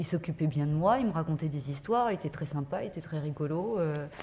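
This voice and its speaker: Somewhat breathy and dark, mellow in tone, a woman speaks at a fairly low pitch with ordinary pitch variation. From France, Paris. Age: 40s. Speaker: journalist. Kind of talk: testimony. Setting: conference with audience. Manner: hesitant, many fillers.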